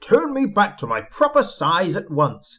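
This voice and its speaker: A man puts on a growling character voice. He speaks at a moderate pace. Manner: spluttering in a rage, indignant.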